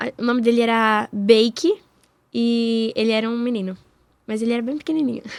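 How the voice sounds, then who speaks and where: The pace is moderate with fairly even intonation. Long, frequent pauses break up the speech. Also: woman, fairly high pitch for a woman. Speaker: voice actress and musical theatre actress. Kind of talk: interview. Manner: speaking higher than usual.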